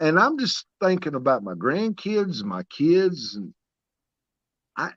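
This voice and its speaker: A man's high voice at a very slow pace, with very wide pitch swings, dry and close with no echo against a quiet background. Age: 60s. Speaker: caller. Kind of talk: casual chat. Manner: halting.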